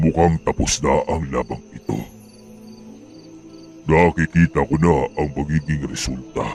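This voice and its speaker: In a put-on character voice with a very deep, low pitch, a man speaks at a fairly slow pace with fairly even intonation and long, frequent pauses, over clear background music, with a dry, close sound and no echo. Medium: read story. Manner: measured, authoritative.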